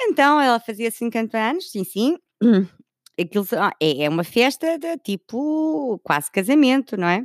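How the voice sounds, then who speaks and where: The voice swings very widely in pitch at a fairly slow pace, with a dry, close sound, no echo, and a very clean recording over a silent background. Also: woman, fairly high pitch for a woman. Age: 50s. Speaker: podcast host. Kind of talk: personal storytelling. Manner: animated.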